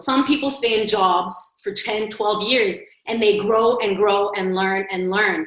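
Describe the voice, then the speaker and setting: Amid audible room echo, a woman with a Canadian accent talks at a moderate pace and a fairly high pitch with ordinary pitch variation. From Montreal, Canada. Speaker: agency strategy executive, panelist. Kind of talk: panel discussion.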